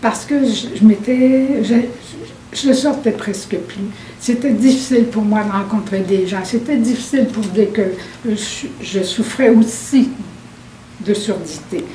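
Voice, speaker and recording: Amid noticeable background noise and audible room echo, a woman speaks at a very slow pace with long, frequent pauses, at a fairly high pitch with ordinary pitch variation. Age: 70s. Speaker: hearing-impaired senior client. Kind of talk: testimony. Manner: halting, many repetitions.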